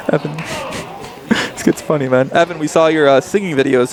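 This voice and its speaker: A man talks at a very fast pace in an animated tone, pitched fairly high. Noticeable background noise runs underneath. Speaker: poker commentator. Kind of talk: live commentary. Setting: live stream at casino with crowd. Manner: casual, animated; monotone when talking strategy.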